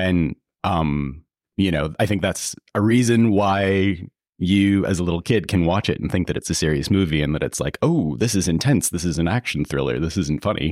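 Here a man speaks at a moderate pace. His very deep, low pitch carries some vocal fry. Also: ordinary pitch variation, dry, close sound with no echo. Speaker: podcast host. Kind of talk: casual interview.

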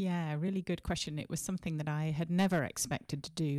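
A woman's dark, mellow tone on a very clean recording with a silent background. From Sheffield, England. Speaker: horticulture professor and apple breeder. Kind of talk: casual interview conversation. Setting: conference room interview.

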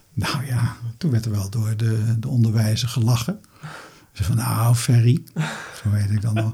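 A man at medium pitch, moderate pace and fairly even intonation, with long, frequent pauses and noticeable background noise. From Netherlands, Rotterdam. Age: 60s. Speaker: retired medical microbiologist. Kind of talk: interview.

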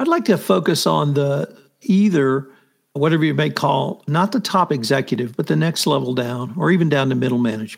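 A man with an ordinary speaking voice talks at a fairly quick pace with fairly high pitch. His intonation is lively and his loudness very even. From US, military family. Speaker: podcast host. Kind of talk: interview. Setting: video call.

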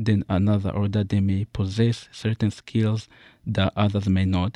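Fairly low male voice, dark and mellow, at a moderate pace, dry and close with no echo against a quiet background. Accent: East African. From Central/East Africa (born Congo, raised Uganda). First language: not English. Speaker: college student and essay writer. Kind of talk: reading aloud an essay.

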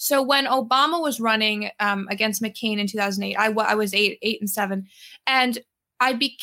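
A bright, sharp tone carries fairly even intonation at a fairly quick pace. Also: woman. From New York City, Manhattan. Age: 20s. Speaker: college student, political commentator. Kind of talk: interview.

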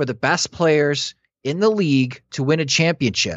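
An American accent marks this man's speech, delivered at a moderate pace with ordinary pitch variation. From US Midwest. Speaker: baseball podcaster and analyst. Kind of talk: casual sports talk. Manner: analytical.

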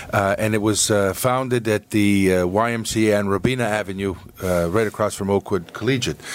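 There is noticeable background noise as a man speaks at a moderate pace with fairly even intonation and very even loudness. His pitch sits fairly low. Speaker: soccer club chairman. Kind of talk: casual chat. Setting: studio.

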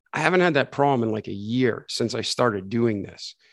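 This man has a normal speaking voice at a medium pitch. His pitch variation is ordinary. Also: quiet background. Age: 40s. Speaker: podcast host and coach. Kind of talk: interview.

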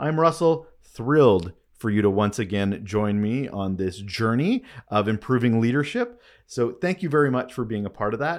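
This is an unremarkable speaking voice, a man with a Canadian accent at medium pitch. He talks at a moderate pace with lively intonation on a very clean recording with a silent background. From Canada. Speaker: podcast host, leadership communications consultant. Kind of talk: solo podcast monologue. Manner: casual, conversational.

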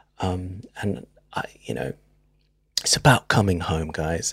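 With a British accent and vocal fry, a man with a very deep, low voice speaks at a moderate pace with lively intonation, the sound dry and close with no echo. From UK, Filipino heritage. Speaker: writer-director. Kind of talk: casual interview chat.

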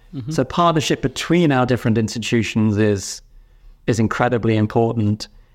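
A speaker with a British accent talks against a quiet background. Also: man. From United Kingdom. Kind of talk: interview.

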